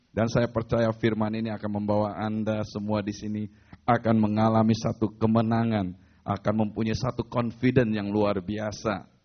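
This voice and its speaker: At a moderate pace, a man speaks with a fairly low pitch. His intonation is monotone and flat. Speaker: pastor. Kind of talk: sermon.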